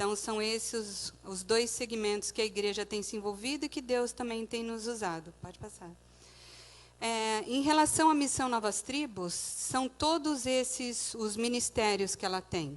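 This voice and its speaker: Against a quiet background, a woman speaks at a fairly slow pace. Her voice is fairly high, with ordinary pitch variation. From Brazil, Santos (São Paulo state). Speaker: missionary. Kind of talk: church mission presentation with slides. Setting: church service.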